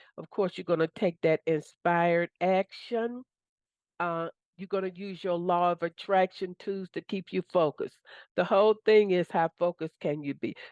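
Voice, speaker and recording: In an unremarkable speaking voice, a woman talks at a moderate pace with fairly even intonation and a fairly low pitch, recorded dry and close with no echo over a quiet background. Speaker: manifestation coach. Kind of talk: motivational talk. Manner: casual.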